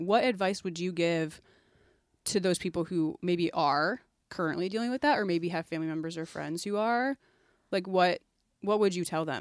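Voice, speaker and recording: A woman with an ordinary speaking voice talks at a moderate pace in a fairly low pitch with ordinary pitch variation, recorded very cleanly against a silent background. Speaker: church podcast co-host. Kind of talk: casual chat. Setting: studio.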